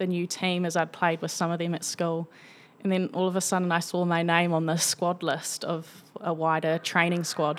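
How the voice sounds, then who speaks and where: In a New Zealand accent, a woman with a fairly low pitch speaks at a moderate pace in a monotone, flat intonation. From New Zealand, Tawa (Wellington). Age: 20s. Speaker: professional cricketer. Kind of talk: casual chat. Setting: in person.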